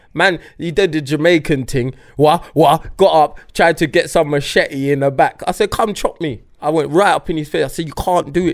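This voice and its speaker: Fairly quick, fairly high-pitched speech from a man, an unremarkable speaking voice with ordinary pitch variation. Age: 30s. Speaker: podcast co-host. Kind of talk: casual chat.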